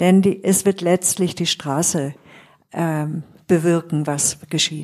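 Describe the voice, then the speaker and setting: Speaking very slowly, a woman keeps a fairly low pitch and fairly even intonation. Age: old. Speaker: psychotherapist. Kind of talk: casual group conversation.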